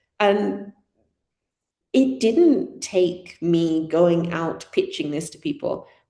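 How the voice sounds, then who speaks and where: With a British accent, a woman speaks at a very slow pace, her loudness swinging widely. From Britain. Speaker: community organiser. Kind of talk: talk to an audience.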